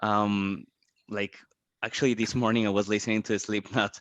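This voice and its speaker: Against a quiet background, a man speaks at a medium pitch with monotone, flat intonation. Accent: Spanish. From Colombia. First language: Spanish. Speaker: podcast host. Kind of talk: interview. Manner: halting, many repetitions.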